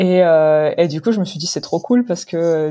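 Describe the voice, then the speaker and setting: A woman's dark, mellow tone at a fairly low pitch. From Morocco. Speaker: animation filmmaker. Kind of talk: interview. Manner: halting.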